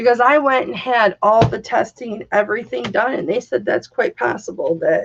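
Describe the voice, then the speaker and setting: A woman speaks loudly in a fairly high pitch. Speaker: live streamer. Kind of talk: casual chat. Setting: livestream.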